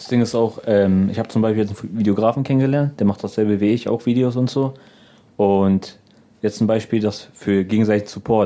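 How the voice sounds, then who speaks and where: Against a quiet background, a man talks at a fairly quick pace in a fairly low pitch, with fairly even intonation and a dark, mellow tone. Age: 20s. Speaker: comedian and video editor. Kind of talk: casual interview chat.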